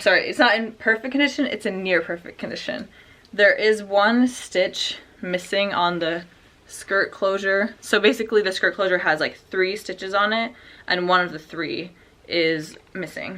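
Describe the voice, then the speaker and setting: Using an ordinary speaking voice, a woman speaks at a moderate pace and medium pitch with ordinary pitch variation. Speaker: online clothing reseller. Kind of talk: casual haul video tutorial.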